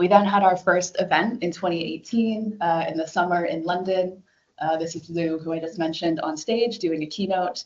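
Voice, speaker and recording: A woman with an American accent speaks at a fairly low pitch and a moderate pace with ordinary pitch variation in an unremarkable speaking voice. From United States. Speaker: government design leader. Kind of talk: conference talk.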